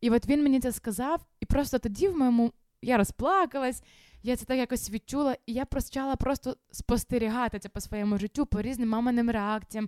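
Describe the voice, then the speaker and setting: A woman with an ordinary speaking voice, fairly high in pitch with ordinary pitch variation, at a fairly quick pace, in a dry, close, very clean recording with no echo and a silent background. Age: 20s. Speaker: youth ministry leader and runner. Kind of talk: casual interview.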